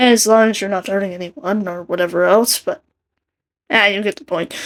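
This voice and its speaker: A woman's medium-pitched voice at a moderate pace. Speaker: artist and video creator. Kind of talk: casual commentary over speedpaint. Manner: rambling.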